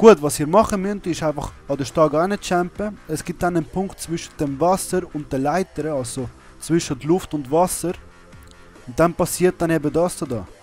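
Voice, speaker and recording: With a Swiss accent and a fairly high voice, a man talks at a moderate pace with ordinary pitch variation as music plays in the background. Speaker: video gamer. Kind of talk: gameplay tutorial commentary. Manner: casual.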